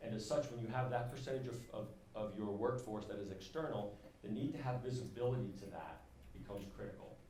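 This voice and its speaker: A man with a New York accent talks at a very fast pace. His intonation is fairly even, and audible room echo surrounds it. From US Northeast, New York. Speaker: enterprise software presenter. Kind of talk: conference presentation.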